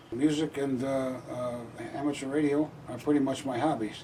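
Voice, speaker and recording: A man talks at a fairly quick pace with fairly even intonation while noticeable background noise plays behind him. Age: 70s. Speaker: amateur radio operator. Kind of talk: equipment walkthrough; radio contact. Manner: halting.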